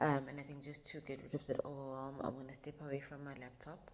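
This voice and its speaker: Set in audible room echo, a woman speaks with a very deep, low pitch and a dark, mellow tone. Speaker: vlogger. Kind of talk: vlog talk to camera. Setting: in a car. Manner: casual, hesitant with fillers.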